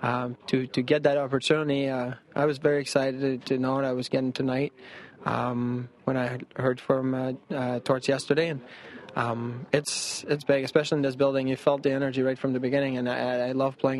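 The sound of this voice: This man talks at a fairly quick pace, his medium-pitched voice showing little pitch movement.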